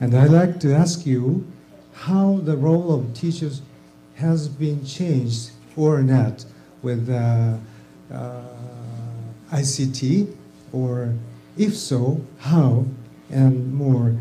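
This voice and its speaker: Over music in the background and audible room echo, a man with a Japanese accent speaks at medium pitch with ordinary variation, at a very slow pace with long, frequent pauses. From Japan, Tokyo. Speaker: teacher trainer, audience questioner. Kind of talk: audience question. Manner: halting.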